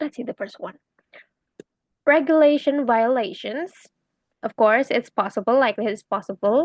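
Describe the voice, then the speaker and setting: Speaking at a moderate pace, a woman makes long, frequent pauses and big swings in loudness, her sound dry and close with no echo. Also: ordinary pitch variation. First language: Indonesian. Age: 20s. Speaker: university student. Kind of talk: exam answer explanation, casual. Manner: halting, many fillers; chatty, animated.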